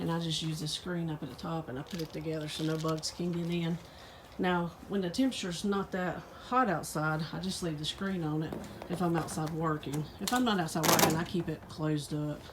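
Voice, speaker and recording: Fairly quick and fairly low-pitched, a woman talks with a Southern US accent. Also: ordinary pitch variation. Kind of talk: casual talk to camera.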